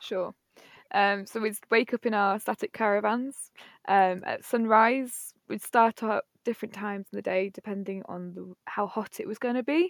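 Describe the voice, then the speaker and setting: Recorded very cleanly with a silent background, a woman speaks at a moderate pace and medium pitch. The sound is dry and close with no echo, and her intonation is fairly even. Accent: East Midlands. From Nottingham, England. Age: 20s. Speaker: waitress and former fruit picker. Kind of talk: casual interview.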